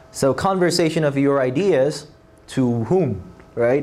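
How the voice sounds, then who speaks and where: A man speaks with lively intonation. Noticeable background noise and audible room echo are present. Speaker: SAT essay tutor. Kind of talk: lecture. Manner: halting, many fillers and restarts.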